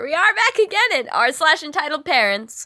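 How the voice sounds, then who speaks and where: A woman speaks in a raised, projected voice with a bright, sharp tone, very wide pitch swings, and a moderate pace. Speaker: reddit story reader. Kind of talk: casual chat.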